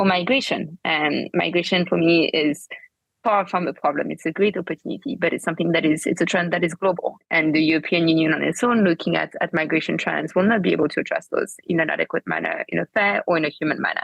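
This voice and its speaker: A woman with a French accent talks very fast, barely pausing at all. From France. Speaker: political party co-founder. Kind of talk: interview.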